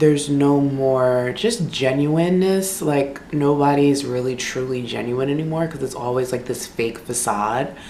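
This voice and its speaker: Amid noticeable background noise and audible room echo, a woman speaks at a fairly slow pace with a very deep, low pitch and ordinary pitch variation. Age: 20s. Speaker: beauty vlogger. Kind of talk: casual chat. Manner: casual, filler-heavy.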